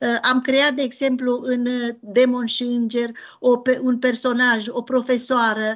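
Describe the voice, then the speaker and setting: Over a quiet background, a woman talks at a fairly slow pace in a high pitch. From Romania, Transylvania (Bistrița-Năsăud); Transylvania, Romania. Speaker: novelist. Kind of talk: interview. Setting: video call. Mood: earnest, personal. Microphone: video call.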